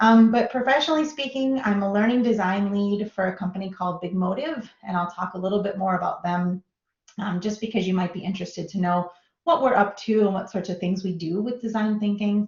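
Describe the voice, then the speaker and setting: A woman talks at a fairly quick pace. Her pitch sits in the medium range and varies in an ordinary way. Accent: Minnesota. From US Midwest, Minnesota. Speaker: design professional, guest lecturer. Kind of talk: lecture. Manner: casual, filler-heavy.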